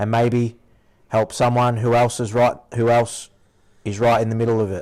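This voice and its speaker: A man in a rural Australian accent, medium pitch, monotone, flat intonation and moderate pace, on a very clean recording with a silent background. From rural Victoria, Australia. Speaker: podcast host, former shearer. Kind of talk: reading aloud a prepared intro; casual chat.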